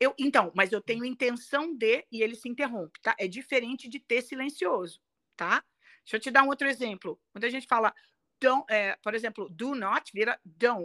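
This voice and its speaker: With a Carioca accent, a woman speaks at a moderate pace in a bright, sharp tone with a fairly high pitch and ordinary pitch variation, on a very clean recording with a silent background and a dry, close sound with no echo. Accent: Brazilian, non-Paulista (carioca). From Brazil, Rio de Janeiro. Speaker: English pronunciation coach. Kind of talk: interview.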